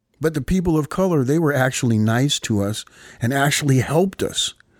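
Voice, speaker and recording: On a very clean recording with a silent background, a man speaks with an American accent. His is an unremarkable speaking voice, fairly high-pitched with lively intonation. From Ohio, Columbus. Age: 50s. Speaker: carpenter and radio music host. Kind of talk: interview.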